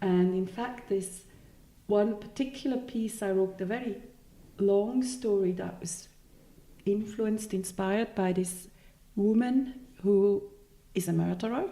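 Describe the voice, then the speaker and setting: In a Swiss German accent, a woman speaks at a fairly slow pace with long, frequent pauses. Her medium-pitched voice has a dark, mellow tone and fairly even intonation. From Switzerland. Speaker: novelist. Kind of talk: interview.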